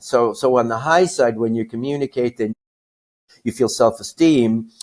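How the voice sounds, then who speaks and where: Someone speaks with an American accent at a moderate pace and ordinary pitch variation on a very clean recording with a silent background and a dry, close sound with no echo. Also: man. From US Northeast (New York). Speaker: astrologer. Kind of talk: astrology reading in interview. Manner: halting, many repetitions.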